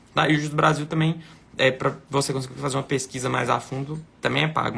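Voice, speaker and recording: A man races through his words at a very fast pace with noticeable background noise around him. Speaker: lawyer. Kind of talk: live Q&A consultation. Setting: live stream.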